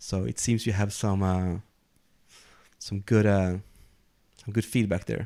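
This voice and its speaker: Delivered at a fairly slow pace with long, frequent pauses, the voice has a dark, mellow tone and fairly even intonation on a very clean recording with a silent background. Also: man, fairly low pitch for a man. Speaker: podcast host. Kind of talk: casual chat. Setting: live stream.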